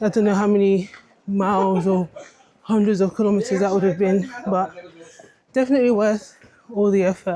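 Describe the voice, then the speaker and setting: Over noticeable background noise, a woman speaks at a medium pitch and a moderate pace with monotone, flat intonation. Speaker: travel vlogger. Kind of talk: casual vlog narration.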